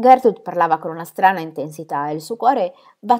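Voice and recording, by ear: Intonation here is lively. Someone is reading aloud in a natural voice.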